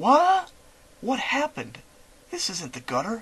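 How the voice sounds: A man's put-on character voice, high-pitched and fairly bright with a husky, rough edge, very wide pitch swings and a slow pace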